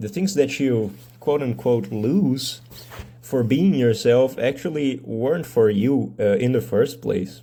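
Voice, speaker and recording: A man with a Brazilian accent speaks at a very slow pace, his dark, mellow tone carried by lively intonation. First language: Portuguese. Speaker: medical student and mental health video creator. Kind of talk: casual monologue vlog. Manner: hesitant with fillers.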